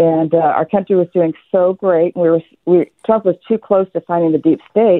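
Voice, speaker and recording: Using a plain, everyday voice, a woman speaks at a moderate pace and a fairly low pitch, with ordinary pitch variation. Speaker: caller. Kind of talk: call-in talk radio opinion. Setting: phone call.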